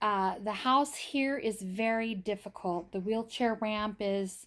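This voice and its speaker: In an unremarkable speaking voice, a woman talks at a fairly high pitch. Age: 60s. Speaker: family caregiver. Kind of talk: casual vlog narration.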